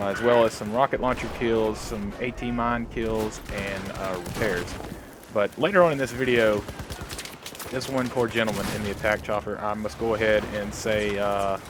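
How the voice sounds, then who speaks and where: A man with a fairly low pitch and fairly even intonation speaks at a moderate pace amid noticeable background noise. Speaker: gaming commentator. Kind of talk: gameplay commentary. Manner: hesitant, many filler uhs.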